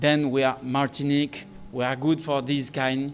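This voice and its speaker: A man in a French Caribbean accent, fairly high in pitch, fairly slow, with fairly even intonation. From Guadeloupe. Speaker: air ambulance company representative. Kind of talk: press briefing speech. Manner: halting.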